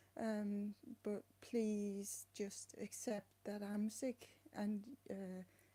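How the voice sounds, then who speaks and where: A woman with a non-native accent speaks at a very slow pace in a dark, mellow, somewhat breathy tone, her intonation monotone and flat. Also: medium pitch for a woman. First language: not English. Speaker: vlogger with chronic illness. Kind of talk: personal vlog. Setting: home flat. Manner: halting.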